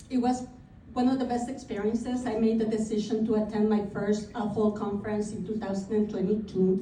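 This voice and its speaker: A woman talks at a fairly quick pace in a fairly high pitch with a monotone, flat intonation, over noticeable background noise and audible room echo. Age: 50s. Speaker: realtor. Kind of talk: speech. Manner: reading from notes.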